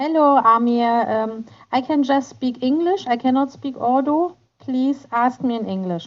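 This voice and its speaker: A woman's high-pitched voice at a fairly slow pace, with ordinary pitch variation. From Germany. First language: German. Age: 40s. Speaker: kindergarten teacher. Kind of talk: interview. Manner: halting.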